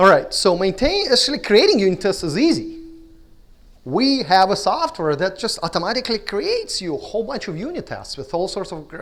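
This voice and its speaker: Speaking at a fairly quick pace, the man has a high pitch and very wide pitch swings. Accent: Russian. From Russia. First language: Russian. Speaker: conference speaker. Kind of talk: conference talk. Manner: halting.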